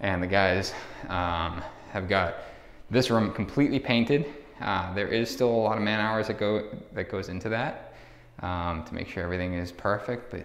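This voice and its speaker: Audible room echo surrounds a man speaking at a moderate pace. His pitch is fairly low with ordinary variation. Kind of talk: walkthrough commentary. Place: empty room. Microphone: phone near.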